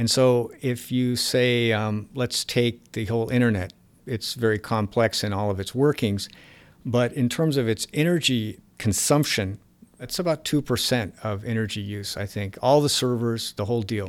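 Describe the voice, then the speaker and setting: At a moderate pace and a medium pitch, a man speaks with ordinary pitch variation in a plain, everyday voice. The recording is very clean, the background silent. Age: 50s. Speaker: economics writer. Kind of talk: interview.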